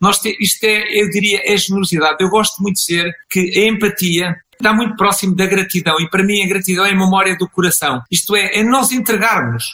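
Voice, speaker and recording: A man with a European Portuguese accent projects a raised, high-pitched voice at a fairly quick pace with hardly any pauses. His pitch variation is ordinary, and noticeable background noise sits behind him. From Portugal. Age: 60s. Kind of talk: interview.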